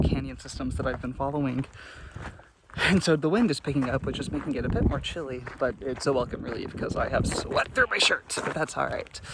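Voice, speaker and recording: Speech moves at a fairly quick pace. Noticeable background noise is present. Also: man. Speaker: hiking vlogger. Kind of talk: outdoor vlog narration. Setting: outdoors on a trail. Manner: quiet, softer than usual.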